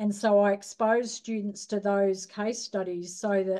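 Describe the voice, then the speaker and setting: The voice has a dark, mellow tone with an Australian accent, moving at a fairly slow pace in a monotone, flat intonation. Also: woman. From rural Australia. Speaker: nurse educator. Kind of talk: lecture. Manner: hesitant, many fillers.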